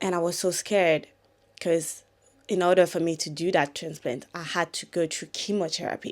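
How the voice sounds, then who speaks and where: A woman with a French accent at a moderate pace, fairly low in pitch, in a monotone, flat intonation, on a very clean recording with a silent background. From France. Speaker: content creator. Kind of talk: casual storytime talk to camera.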